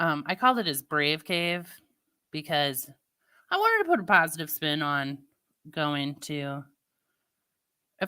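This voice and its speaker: A woman with a slight St. Louis accent speaks in a very deep, low voice with a bright, sharp tone and ordinary pitch variation, recorded very cleanly against a silent background. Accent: Midwestern, slight St. Louis. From US Midwest, Missouri. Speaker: live streamer. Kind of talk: casual chat.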